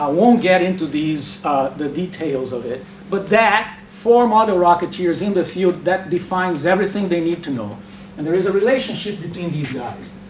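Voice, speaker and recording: A man speaks fairly quickly in a high pitch with ordinary pitch variation. Noticeable background noise and audible room echo surround him. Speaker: academic speaker. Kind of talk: lecture. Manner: fast.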